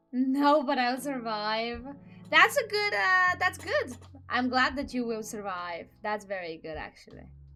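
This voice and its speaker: Over music in the background, a woman with a high pitch talks at a fairly slow pace, making very wide pitch swings and big swings in loudness. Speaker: streamer. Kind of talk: casual chat.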